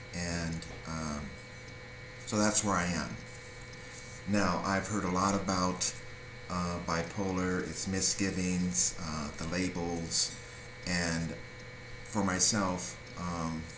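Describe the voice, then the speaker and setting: The speech moves at a very slow pace with long, frequent pauses and fairly even intonation. Noticeable background noise and audible room echo fill the recording. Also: man, very deep, low pitch for a man. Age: 50s. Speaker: vlogger sharing personal mental health story. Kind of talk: personal testimony monologue. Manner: hesitant, many fillers.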